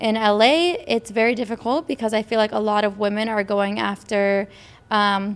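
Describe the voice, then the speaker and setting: A woman's plain, everyday voice, fairly high in pitch, at a moderate pace. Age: 20s. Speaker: podcast co-host. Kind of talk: casual chat.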